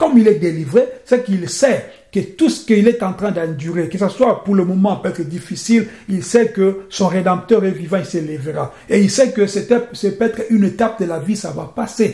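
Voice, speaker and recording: In a room with audible echo, a dark, mellow voice moves at a moderate pace with ordinary pitch variation. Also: man, high pitch for a man. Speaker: preacher. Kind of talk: sermon.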